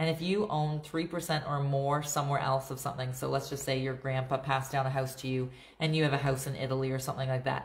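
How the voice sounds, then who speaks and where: A woman's very deep, low, somewhat breathy voice at a fairly quick pace, with audible room echo. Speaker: real estate agent. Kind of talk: livestream Q&A and market update. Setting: live video stream. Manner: fast; casual, filler-heavy.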